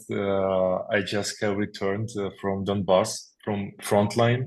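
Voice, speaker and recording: Against a quiet background, a man with a Ukrainian accent speaks very slowly in a fairly low, monotone, flat voice. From Ukraine, Kyiv. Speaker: military chaplain. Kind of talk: testimony. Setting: video call. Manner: halting, many fillers.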